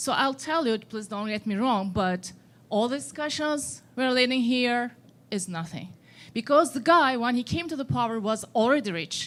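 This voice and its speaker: With a Turkish accent, a woman speaks at a moderate pace in a high voice, her intonation lively. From Turkey. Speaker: audience member, exiled scholar. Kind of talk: audience question. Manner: hesitant.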